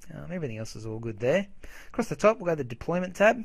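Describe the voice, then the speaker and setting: A somewhat breathy man's voice in an Australian accent, with very wide pitch swings. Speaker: software tutorial maker. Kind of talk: tutorial. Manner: casual.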